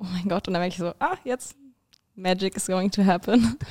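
A woman with a fairly low pitch and a dark, mellow tone speaks with ordinary pitch variation in a dry, close sound with no echo. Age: 20s. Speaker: university student and stripper. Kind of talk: casual chat.

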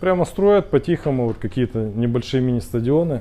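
A man with an unremarkable speaking voice, medium in pitch, with lively intonation. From Russia, Khabarovsk. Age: 50s. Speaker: speaker club organizer, entrepreneur. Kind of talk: casual talk to a small group. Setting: cafe.

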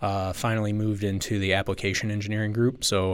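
In a very clean recording with a silent background, a man with a plain, everyday voice speaks fairly quickly at a fairly low pitch with an American accent. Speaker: sales manager in manufacturing. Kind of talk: interview conversation.

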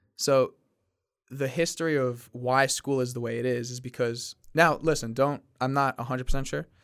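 A man's normal speaking voice, medium in pitch, with fairly even intonation at a moderate pace on a very clean recording with a silent background. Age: 20s. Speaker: podcast host. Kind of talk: casual chat. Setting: studio.

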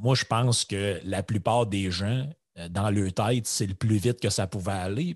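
At a fairly slow pace, a man speaks in a plain, everyday voice with a fairly low pitch and ordinary pitch variation, the sound dry and close with no echo against a quiet background. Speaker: podcast co-host. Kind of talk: casual chat.

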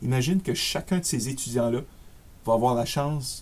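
Speaking with an Acadian accent, a man talks at a medium pitch. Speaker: career coach. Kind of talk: interview.

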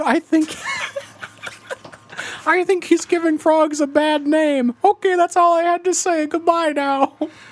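A high-pitched, put-on character voice at a fairly slow pace. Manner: comical, silly.

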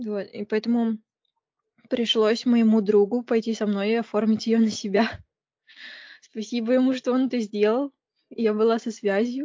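A woman's fairly high voice, fairly slow and monotone, with flat intonation. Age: 20s. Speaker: university student studying Korean. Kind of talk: casual interview chat.

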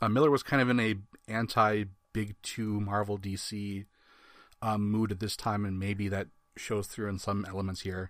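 Monotone, flat intonation in a Wisconsin accent at a moderate pace. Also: man, fairly low pitch for a man. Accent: Upper Midwest American (Wisconsin). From US Midwest. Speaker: comics podcast co-host. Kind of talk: casual chat.

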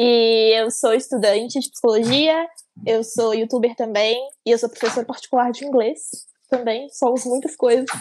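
The woman has an unremarkable speaking voice, pitched fairly high, with fairly even intonation and a moderate pace. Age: 20s. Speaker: podcast co-host, psychology student. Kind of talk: casual chat.

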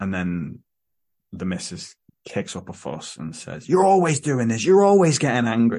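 A man with an English accent at a medium pitch, with very wide pitch swings at a moderate pace, over a quiet background. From England. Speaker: podcast host. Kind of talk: casual chat.

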